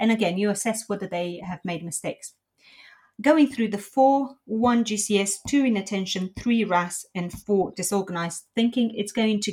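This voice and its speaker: Somewhat breathy speech with a non-native accent and ordinary pitch variation. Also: woman. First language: not English. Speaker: intensive care nurse. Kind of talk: educational podcast discussion.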